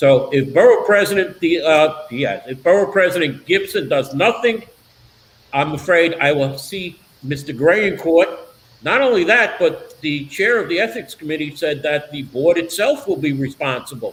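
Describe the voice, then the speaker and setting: Over noticeable background noise, a man with a Brooklyn accent speaks at a moderate pace in a high pitch with lively intonation. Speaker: political talk show host. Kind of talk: casual interview chat.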